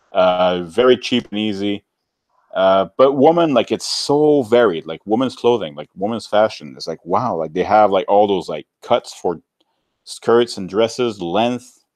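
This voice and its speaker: A man with a French-Canadian accent, fairly low in pitch, fairly slow, with lively intonation and a dry, close sound with no echo. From French-speaking Canada outside Quebec. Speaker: YouTuber. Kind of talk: casual chat.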